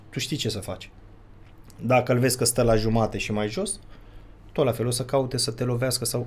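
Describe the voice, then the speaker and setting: A somewhat breathy man at a moderate pace. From Romania. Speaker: father of a child vlogger, would-be fighter; podcast guest. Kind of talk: casual chat. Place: studio. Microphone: studio mic.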